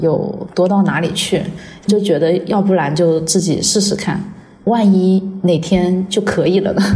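Amid noticeable background noise and audible room echo, a woman speaks at a very slow pace with monotone, flat intonation. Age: 30s. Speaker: makeup artist. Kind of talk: personal testimony.

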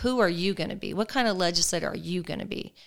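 Someone with an American accent speaks at a very fast pace. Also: woman. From Colorado, US. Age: 50s. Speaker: mayor and former state legislator. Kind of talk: interview. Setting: guest's home.

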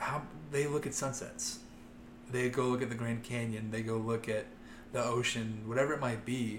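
In an American accent, a man talks in a flat monotone with long, frequent pauses and audible room echo. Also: medium pitch for a man, moderate pace. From US Midwest, Ohio. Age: 20s. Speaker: youth minister. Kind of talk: casual chat.

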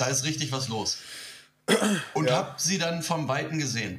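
Noticeable background noise and audible room echo surround a man speaking fairly quickly at a fairly high pitch. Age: 30s. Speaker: podcast guest. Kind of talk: casual chat. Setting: remote call.

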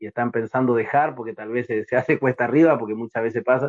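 This man's delivery is very fast, with a medium pitch and fairly even intonation. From Corrientes, northeastern Argentina. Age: 30s. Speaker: lower-division footballer. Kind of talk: casual interview.

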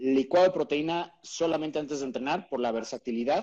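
A man talks at a fairly quick pace in a fairly high voice with a dark, mellow tone. His pitch varies in an ordinary way. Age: 40s. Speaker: keto diet expert. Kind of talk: interview on a live stream.

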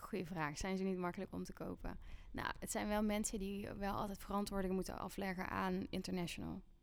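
Her voice is an ordinary speaking voice, an ordinary speaking voice, as this woman talks at a medium pitch and a fairly quick pace with fairly even intonation. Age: 30s. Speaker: music artist manager. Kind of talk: casual interview.

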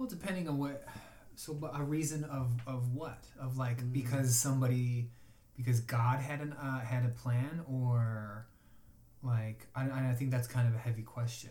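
A man's somewhat breathy, dark, mellow, medium-pitched voice with an American accent, fairly even intonation and a moderate pace, in audible room echo. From Chicago. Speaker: acupuncturist. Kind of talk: casual chat.

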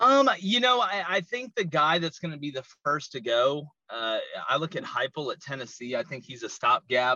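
With a slight Southern US accent, the speaker talks at a moderate pace, the pitch swinging very widely. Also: man, fairly high pitch for a man. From US South. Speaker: college football podcaster. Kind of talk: casual sports analysis interview.

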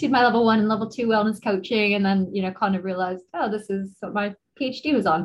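A woman talks at a fast pace. Her pitch is medium, with ordinary variation.

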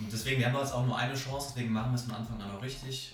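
Over noticeable background noise and audible room echo, a man speaks in a monotone, flat intonation. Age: 30s. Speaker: startup founder. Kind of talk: interview.

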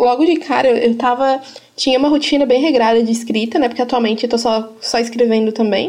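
Over noticeable background noise, a woman with a high voice talks at a fairly quick pace. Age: 20s. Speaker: podcast host. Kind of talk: interview. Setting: video call.

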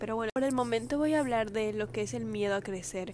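The woman's voice sits fairly high and moves at a moderate speed. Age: 20s. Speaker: podcast host. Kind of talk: personal monologue. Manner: serious; informal.

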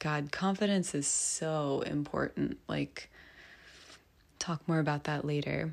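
A woman's very deep, low pitch on a very clean recording with a silent background. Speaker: podcast host. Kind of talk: personal monologue. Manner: free-flowing, reflective.

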